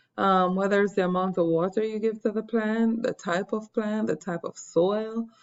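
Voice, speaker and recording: Speaking in an unremarkable voice, a woman holds a fairly high pitch, fairly even intonation and a moderate pace. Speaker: science teacher. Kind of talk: lecture. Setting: screen recording.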